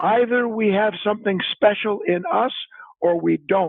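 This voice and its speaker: In an American accent, the speaker talks at a fairly slow pace with ordinary pitch variation. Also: man. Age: 70s. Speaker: spiritual author. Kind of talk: podcast interview.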